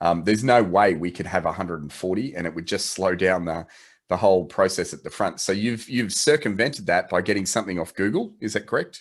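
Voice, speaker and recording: With an Australian accent, a man with a very deep, low pitch talks at a very fast pace, his pitch varying in an ordinary way. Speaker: photo editing company representative. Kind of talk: video call interview. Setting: video call. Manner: halting, many restarts.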